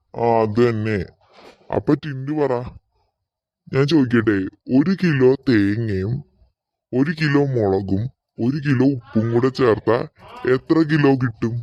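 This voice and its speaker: A man puts on a cartoonish character voice at a medium pitch. He speaks at a very slow pace with ordinary pitch variation. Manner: authoritative, questioning.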